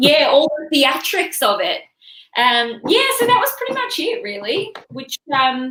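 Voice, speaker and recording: In an Australian accent, a woman speaks at a fairly slow pace in a raised, projected voice, her high pitch moving in very wide swings. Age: 30s. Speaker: comedian. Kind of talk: casual chat. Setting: studio.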